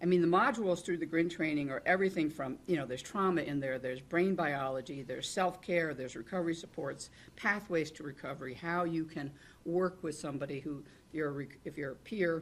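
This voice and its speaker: Ordinary variation marks the pitch. The delivery moves fairly quickly. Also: woman, very deep, low pitch for a woman. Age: 70s. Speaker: panelist, peer support trainer in gambling recovery. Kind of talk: panel discussion. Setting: conference panel with live and virtual audience. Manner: rambling, self-interrupting.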